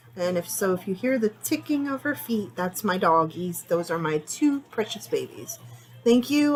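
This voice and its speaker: A somewhat breathy woman speaks at a medium pitch and a fairly quick pace, her pitch swinging very widely. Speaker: psychic medium doing readings. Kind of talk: tarot reading monologue. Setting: home bedroom. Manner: casual, rambling with fillers.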